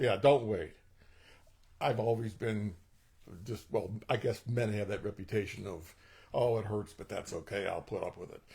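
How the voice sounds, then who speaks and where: With a dark, mellow tone, a man speaks in a fairly low pitch, somewhat breathy, with fairly even intonation, big swings in loudness, and long, frequent pauses. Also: moderate pace. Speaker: patient. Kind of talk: testimony.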